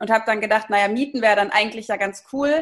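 A woman speaks with fairly high pitch and ordinary pitch variation. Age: 30s. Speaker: startup founder and managing director. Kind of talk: interview. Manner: hesitant, many filler sounds.

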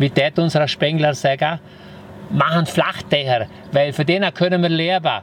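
Over noticeable background noise, the speaker uses a strong Vorarlberg accent at a moderate pace, with fairly even intonation and very even loudness. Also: man, fairly high pitch for a man. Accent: broad Vorarlberg dialect. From Vorarlberg, Austria (Lustenau). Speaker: entrepreneur, hotelier and former property developer. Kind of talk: casual interview. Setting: on location at his house.

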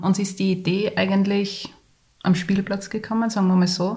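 This woman talks at a moderate pace in a medium pitch, her voice somewhat breathy. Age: 30s. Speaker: podcast co-host, mother and graphic designer. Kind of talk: casual chat.

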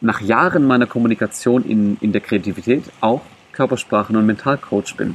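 His loudness very even, a man talks in a medium pitch with ordinary pitch variation. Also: moderate pace, dry, close sound with no echo. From Germany, Greek parents. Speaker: mental coach and body language coach. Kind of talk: interview. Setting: outdoors in a park. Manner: animated.

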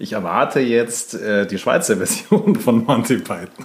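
An ordinary speaking voice talks at a fairly slow pace. Its pitch variation is ordinary. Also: man. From Germany. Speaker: podcast co-host. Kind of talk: casual chat.

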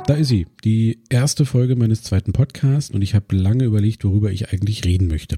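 A man's fairly low, somewhat breathy voice with a dark, mellow tone, ordinary pitch variation and a fairly quick pace, in a dry, close sound with no echo. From Brandenburg, eastern Germany (Cottbus). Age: 30s. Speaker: podcast host and photographer. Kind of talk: solo podcast monologue.

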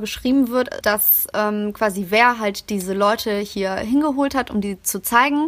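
A woman with a fairly high pitch talks at a fairly slow pace in a normal speaking voice. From Germany, Greek migrant working-class background. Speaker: podcast host. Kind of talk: casual chat.

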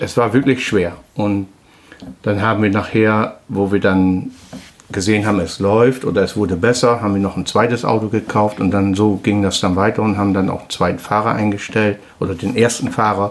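Through noticeable background noise, a man speaks at a moderate pace in a fairly low, monotone voice with flat intonation. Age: 50s. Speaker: trucking company owner, former truck driver. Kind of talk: casual interview. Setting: his office. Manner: halting.

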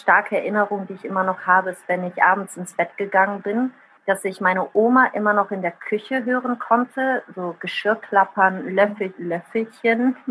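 A woman with an Italian accent, medium pitch and fairly even intonation. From Rhineland, Germany and Italy. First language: Italian (speaking German). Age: 30s. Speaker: social media user and writer. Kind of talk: casual interview.

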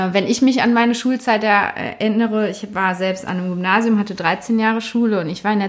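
Background noise is noticeable here. A woman speaks at a moderate speed. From Germany, Cologne area. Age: 20s. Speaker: teacher. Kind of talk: interview.

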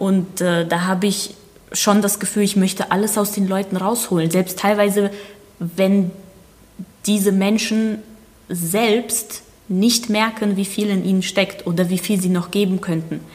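A woman speaks fairly slowly in a flat monotone with very even loudness and long, frequent pauses, over noticeable background noise. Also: medium pitch for a woman. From Germany, born in Ukraine. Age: 20s. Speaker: ballroom dancer and dance coach. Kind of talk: interview.

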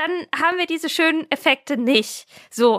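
A woman's lively intonation at a moderate pace, in a dry, close sound with no echo. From Franconia, Germany (Erlangen). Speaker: dog trainer and author. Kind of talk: interview.

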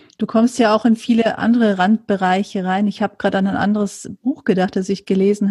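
A woman speaks at medium pitch in a somewhat breathy, dark, mellow tone with monotone, flat intonation at a fairly quick pace. The sound is dry and close with no echo on a very clean recording with a silent background. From rural Germany, farming family. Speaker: podcast host, writer and journalist. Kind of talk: interview conversation.

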